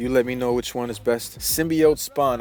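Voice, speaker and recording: Over noticeable background noise, an enthusiastic man races along at a very fast pace, his medium-pitched voice showing ordinary pitch variation. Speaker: toy customizer and reviewer. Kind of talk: product review video. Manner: stuttering at times; casual, enthusiastic.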